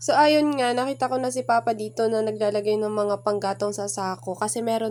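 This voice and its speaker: Her tone dark and mellow, a woman with a fairly high voice speaks with lively intonation. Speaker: vlogger. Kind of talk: vlog narration. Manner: casual, chatty.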